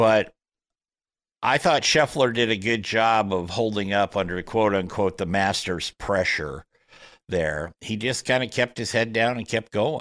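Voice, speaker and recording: A man uses an ordinary speaking voice, fairly low in pitch with ordinary pitch variation, at a fairly slow pace on a very clean recording with a silent background. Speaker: golf radio host. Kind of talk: casual interview.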